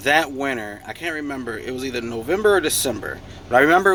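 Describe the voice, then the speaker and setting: Speaking at a fairly quick pace, a man has an unremarkable speaking voice with lively intonation. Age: 30s. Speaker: truck driver sharing life story. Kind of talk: casual storytelling vlog.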